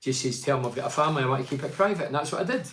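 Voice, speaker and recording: A man speaks with a Scottish accent and lively intonation. There is audible room echo. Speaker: football pundit. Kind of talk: live stream commentary. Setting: live stream. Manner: loud.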